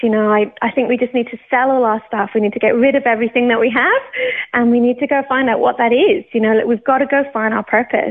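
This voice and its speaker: Talking at a very fast pace, a woman with a British accent uses a high pitch and fairly even intonation. Noticeable background noise runs underneath. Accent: British, non-Australian. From Scotland. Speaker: worship pastor. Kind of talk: testimony. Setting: studio.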